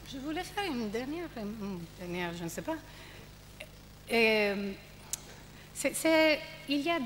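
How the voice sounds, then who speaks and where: A woman's fairly high voice with a strong Italian accent, very wide pitch swings, a fairly slow pace, and noticeable background noise. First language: Italian (speaking French). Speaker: panelist at a theatre festival debate. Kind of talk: panel discussion. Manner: halting.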